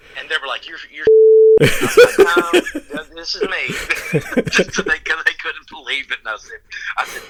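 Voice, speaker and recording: With a strong Southern US accent, the speaker moves at a moderate pace, pausing long and often while the loudness swings widely. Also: man. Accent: thick Southern US. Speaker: rock singer. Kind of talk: casual interview.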